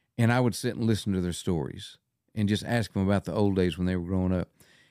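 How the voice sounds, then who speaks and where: A man's dark, mellow voice with ordinary pitch variation, dry and close with no echo, in a very clean recording with a silent background. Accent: West Texas. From West Texas. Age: 70s. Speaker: wildlife photographer. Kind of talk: casual chat.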